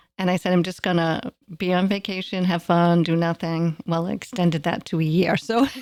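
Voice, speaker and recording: A woman's ordinary speaking voice, fairly low in pitch, with fairly even intonation and a fairly quick pace. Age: 60s. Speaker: retiree. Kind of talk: casual chat.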